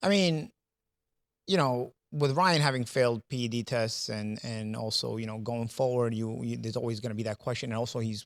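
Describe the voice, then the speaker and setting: In a very clean recording with a silent background and a dry, close sound with no echo, a man with a New York accent talks at a fairly quick pace in a medium pitch. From New York City. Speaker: boxing pundit. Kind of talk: casual panel discussion. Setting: studio. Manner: halting, many repetitions.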